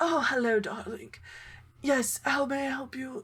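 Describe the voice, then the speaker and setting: A woman does a put-on character voice at a high pitch, with fairly even intonation and a moderate pace. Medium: actual play. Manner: genteel, chatty.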